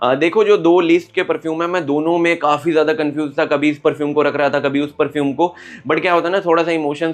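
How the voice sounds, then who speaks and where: This man speaks with hardly any pauses. His fairly high voice holds a monotone, flat intonation. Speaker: perfume reviewer. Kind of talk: product review monologue. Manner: casual, conversational.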